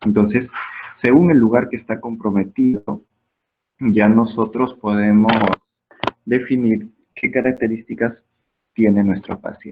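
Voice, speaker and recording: A man at a medium pitch, with fairly even intonation and a fairly slow pace. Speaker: medical lecturer. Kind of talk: lecture.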